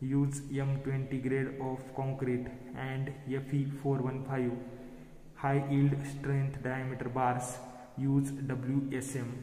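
Audible room echo surrounds a man who speaks at a very slow pace in a monotone, flat intonation, with long, frequent pauses. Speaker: engineering lecturer. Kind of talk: lecture. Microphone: phone near.

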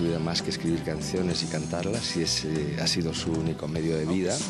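A man's voice, dry and echo-free, with clear music playing behind it. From Asturias, Spain. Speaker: singer-songwriter. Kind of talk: interview answer. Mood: warm, pleased. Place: hall. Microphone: handheld.

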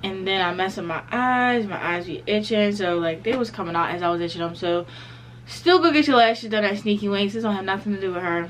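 A woman talks at a very fast pace. There is light background noise behind her. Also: ordinary pitch variation. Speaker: vlogger. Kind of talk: casual vlog chat. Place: home room. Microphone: phone near.

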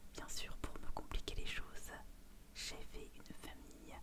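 A woman whispers her words out at a very slow pace. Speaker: YouTuber, gamer. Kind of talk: casual gaming commentary to camera. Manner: whispered, soft-spoken. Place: home room.

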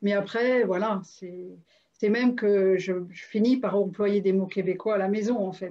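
A woman speaks with monotone, flat intonation. The background is quiet. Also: medium pitch for a woman, fairly slow pace, big swings in loudness. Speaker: interviewer and coach; interviewer, coach. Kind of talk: interview, casual and warm. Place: home room. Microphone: video call.

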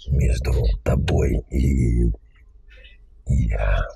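A man puts on a character voice pitched very deep and low. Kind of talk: chat roulette prank.

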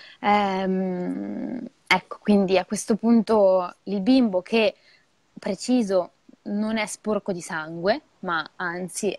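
A woman is heard against a quiet background. The sound is dry, with no echo. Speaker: midwife; guest. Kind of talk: educational live talk. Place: home room. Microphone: earbuds.

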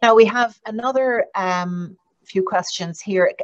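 A woman with an Irish accent, ordinary pitch variation, a dry sound with no echo and a quiet background. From Ireland. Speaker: diplomat and event moderator; event moderator. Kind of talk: webinar moderation. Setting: online event. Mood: polite, formal, warm. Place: office. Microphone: video call.

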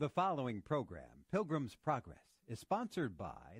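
Recorded dry and close with no echo, a man of medium pitch speaks at a moderate pace with vocal fry and very wide pitch swings. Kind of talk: radio sponsor announcement.

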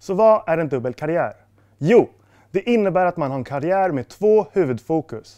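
With lively intonation and a dark, mellow tone, a man speaks at a moderate pace over a quiet background. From Stockholm, Sweden. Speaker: sport psychology student, former esports player; esports coach. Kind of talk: scripted presentation. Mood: friendly, calm, smiling. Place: studio.

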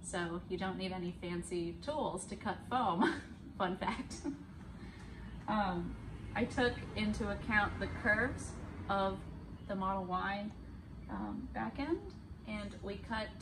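Speaking very slowly with long, frequent pauses, a woman comes through over noticeable background noise. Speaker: vlogger. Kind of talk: casual vlog chat. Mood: cheerful, laughing. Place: car. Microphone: phone near.

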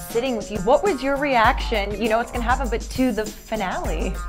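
A woman's upbeat, fairly quick speech over clear background music. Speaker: TV host, entertainment reporter. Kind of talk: casual celebrity interview over drinks. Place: office.

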